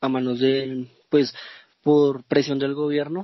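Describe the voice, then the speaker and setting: This man talks at a fairly slow pace with a fairly high pitch. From Colombia, Bogotá. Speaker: football podcast co-host. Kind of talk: casual football podcast chat.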